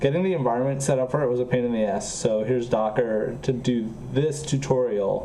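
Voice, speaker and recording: Audible room echo and noticeable background noise accompany a voice with ordinary pitch variation. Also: man. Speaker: programming streamer. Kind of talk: casual chat. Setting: live stream. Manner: slightly slurred pronunciation.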